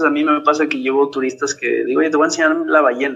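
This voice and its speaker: A man talks at a fairly quick pace with a Mexican accent. His pitch is fairly high. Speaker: marine biologist and diving instructor. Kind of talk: casual interview. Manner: animated.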